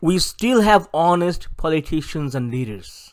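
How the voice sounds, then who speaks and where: A man with a South Asian accent talks at a fairly slow pace with lively intonation on a very clean recording with a silent background. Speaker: political activist. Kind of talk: recorded presentation. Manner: formal.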